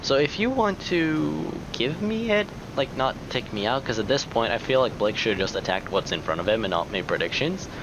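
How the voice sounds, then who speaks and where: Over noticeable background noise, a man with a medium-pitched voice speaks at a fairly quick pace with very wide pitch swings. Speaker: gaming youtuber. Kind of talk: gameplay commentary.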